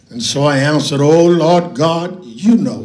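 Music plays behind a man who is talking. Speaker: preacher. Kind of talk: sermon. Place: church. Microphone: handheld.

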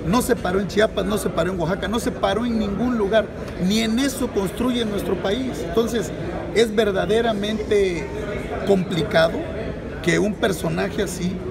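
Loud background noise surrounds this recording. A man talks at a moderate pace. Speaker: politician. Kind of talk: interview answer. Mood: indignant, critical. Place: hall. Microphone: phone near.

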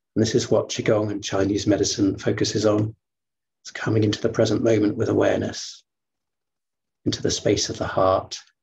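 A man speaks at a fairly low pitch, somewhat breathy and in a monotone, flat intonation. He leaves long, frequent pauses. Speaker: qigong teacher. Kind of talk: guided meditation. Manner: slow. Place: home room. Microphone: webcam.

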